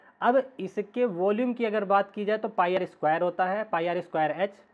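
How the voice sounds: A man speaks at a moderate pace with a high pitch and ordinary pitch variation.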